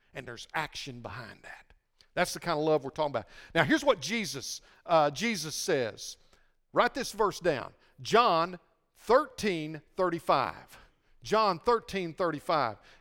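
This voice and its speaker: On a very clean recording with a silent background, a man speaks fairly slowly in a high pitch, with very wide pitch swings and big swings in loudness. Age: 60s. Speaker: pastor. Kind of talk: sermon. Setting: church.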